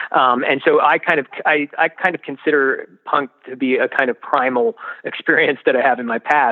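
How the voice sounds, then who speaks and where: Speaking with an American accent, a man talks at a moderate pace in a fairly high pitch with ordinary pitch variation. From US, Washington D.C. area. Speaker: history professor. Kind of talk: interview. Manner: halting.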